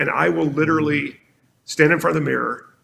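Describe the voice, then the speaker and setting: Vocal fry runs through this man's speech, delivered with an American accent. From South Carolina, US South. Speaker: marketing executive. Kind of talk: podcast interview. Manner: fast; animated.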